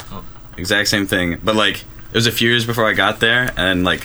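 Fairly quick in pace, a man speaks with a fairly low pitch. His intonation stays fairly even. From US Midwest, Oak Park, Illinois. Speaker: college student. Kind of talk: casual chat.

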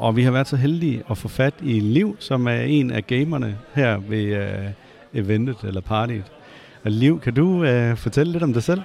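In an ordinary speaking voice, a man talks at a fairly slow pace. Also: medium pitch for a man, lively intonation. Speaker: podcast host. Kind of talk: interview. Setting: gaming event venue.

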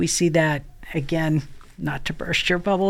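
A woman with an American accent speaks in a very deep, low voice. Her pace is moderate. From Maine, US Northeast. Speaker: prevention science expert and former teacher. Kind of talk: interview conversation.

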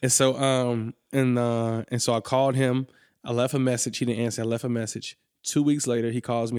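An unremarkable speaking voice moves at a fairly quick pace with fairly even intonation, captured in a very clean recording with a silent background. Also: man. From Atlanta, US South. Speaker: ministry school founder. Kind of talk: casual chat.

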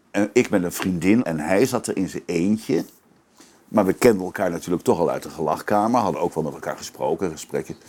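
A man's very deep, low voice at a fairly quick pace with ordinary pitch variation. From Netherlands, Maastricht (Limburg). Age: 70s. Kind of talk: interview.

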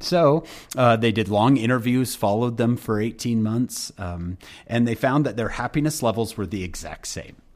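A man's medium-pitched voice, with ordinary pitch variation, keeps a moderate pace. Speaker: speaker and author. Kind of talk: casual interview. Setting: remote recording.

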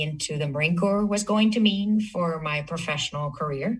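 With a Spanish accent, a woman speaks with ordinary pitch variation. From Spain (Madrid). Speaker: cybersecurity executive. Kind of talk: casual interview conversation.

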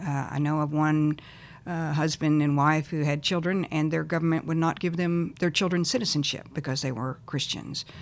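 In a very clean recording with a silent background, a speaker with a Texan accent talks at a moderate pace with fairly even intonation. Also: woman, very deep, low pitch for a woman. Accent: Texan American. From Texas. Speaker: nonprofit founder and former missionary. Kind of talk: interview.

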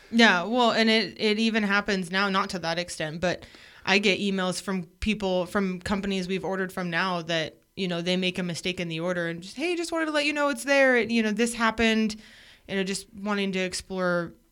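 At a fairly quick pace, a woman with an American accent uses a normal speaking voice of medium pitch and ordinary pitch variation, in a very clean recording with a silent background. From Oregon coast. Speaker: business co-owner and wife.

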